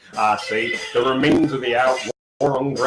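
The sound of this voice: An unforced reading voice comes through over a quiet background.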